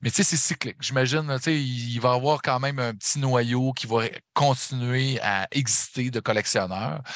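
A man talks in a Saguenay accent at a medium pitch. His pace is moderate and his pitch varies in an ordinary way. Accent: Saguenay Quebec. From Quebec, Saguenay. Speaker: metal podcaster and concert photographer. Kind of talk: casual chat.

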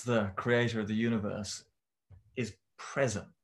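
A man with a southern English accent, medium-pitched and fairly slow, against a quiet background. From southern England, Romsey near Southampton. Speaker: church member discussing scripture. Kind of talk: casual chat.

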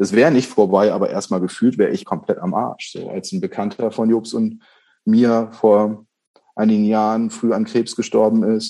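A dark, mellow tone at a moderate pace, with ordinary pitch variation against a quiet background. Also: man, medium pitch for a man. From northern Germany, Bremen. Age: 40s. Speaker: undertaker. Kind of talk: casual chat.

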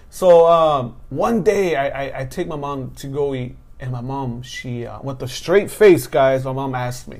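Audible room echo accompanies a man with an American accent who speaks at a fairly slow pace and a fairly high pitch, with ordinary pitch variation and big swings in loudness. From Southern California, Mexican American. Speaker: stand-up comedian and podcast host. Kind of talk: casual chat.

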